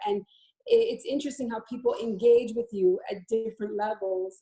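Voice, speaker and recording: A woman speaks at a fairly quick pace in a fairly high pitch, her tone dark and mellow and somewhat breathy. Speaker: former elected official. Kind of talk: panel discussion webinar. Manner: hesitant, many fillers.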